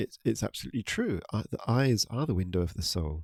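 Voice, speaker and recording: A man's fairly low voice with a dark, mellow tone and a British accent, very cleanly recorded against a silent background, the sound dry and close with no echo. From UK. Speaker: podcast host. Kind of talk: spiritual talk. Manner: halting, many fillers.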